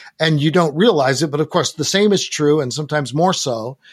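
A man with a normal speaking voice talks at a fairly high pitch and moderate pace, his intonation lively. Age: 60s. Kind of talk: interview.

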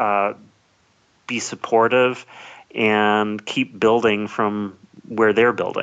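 Speaking very slowly in a flat monotone, a man holds a fairly low pitch. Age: 30s. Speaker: executive coach. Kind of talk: interview.

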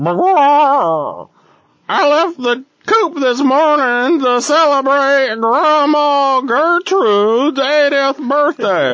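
The put-on character voice sits at a high pitch and moves at a very slow pace. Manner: silly, embarrassed.

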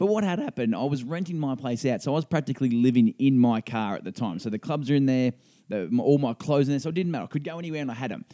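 Dry and close with no echo on a very clean recording with a silent background, a man with an Australian accent races at a very fast pace with hardly any pauses, lively intonation, a fairly high pitch and a dark, mellow tone. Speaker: podcast host, amateur golfer. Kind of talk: casual chat.

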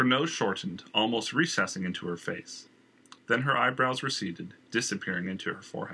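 The text is read aloud in a natural voice.

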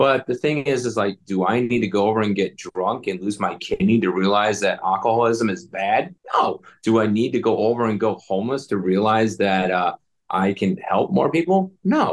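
Here is a man with a plain, everyday voice at a medium pitch, talking at a moderate pace. His intonation is lively and his loudness very even. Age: 40s. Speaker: military veteran and veteran coach. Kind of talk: interview.

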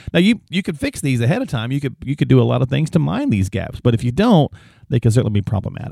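A man talks at a very fast pace with lively intonation, vocal fry and a dark, mellow tone. The sound is dry and close, with no echo. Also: medium pitch for a man. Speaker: podcast host. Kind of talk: casual chat.

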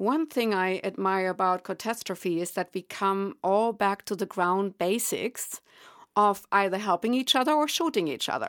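With a German accent, a woman speaks at a medium pitch and moderate pace in a dry, close sound with no echo, on a very clean recording with a silent background. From Germany. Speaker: psychic medium. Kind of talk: interview.

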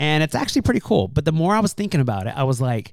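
This man has an ordinary speaking voice at a fairly high pitch. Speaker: podcast host. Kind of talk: casual chat.

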